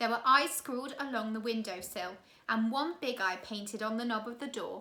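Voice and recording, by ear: Natural voice, reading aloud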